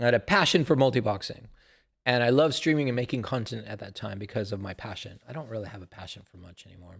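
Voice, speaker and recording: A man's fairly low, somewhat breathy voice at a very fast pace, with lively intonation, on a very clean recording with a silent background. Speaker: YouTube gamer and streamer. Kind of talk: casual vlog monologue.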